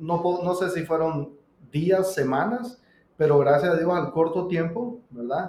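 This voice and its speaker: A man with a high pitch talks at a very slow pace, with ordinary pitch variation. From Nicaragua. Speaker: pizzeria co-owner and business coach. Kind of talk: casual interview conversation.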